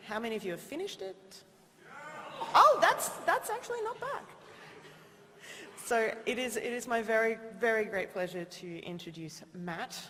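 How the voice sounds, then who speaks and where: A woman with an Australian accent speaks at a moderate pace, with big swings in loudness and long, frequent pauses. Noticeable background noise and audible room echo fill the recording. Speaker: TV presenter. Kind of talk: event introduction. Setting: stage with audience.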